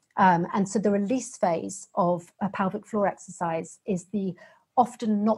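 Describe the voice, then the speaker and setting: A woman with a British accent speaks at medium pitch, somewhat breathy. Her intonation is fairly even. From Britain. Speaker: fitness program founder, pelvic floor specialist. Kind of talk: interview.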